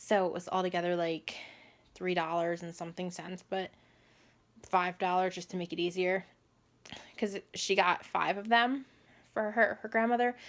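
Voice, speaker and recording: A quiet woman's voice with fairly even intonation, big swings in loudness, and long, frequent pauses. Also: medium pitch for a woman, moderate pace. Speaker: vlogger. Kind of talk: personal story vlog.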